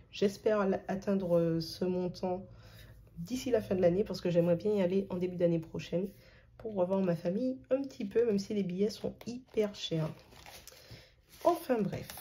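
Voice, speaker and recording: A somewhat breathy woman's voice at a medium pitch, dark and mellow in tone, with ordinary pitch variation, a moderate pace, and long, frequent pauses. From Martinique. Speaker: budgeting youtuber. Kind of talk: casual vlog tutorial. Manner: hesitant, many filler sounds.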